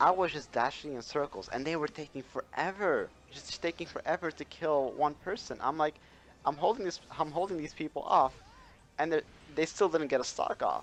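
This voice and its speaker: Speaking with a non-native accent, a man keeps a moderate pace at a fairly high pitch with ordinary pitch variation. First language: not English. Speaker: gaming YouTuber. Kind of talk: casual chat. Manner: hesitant, many fillers.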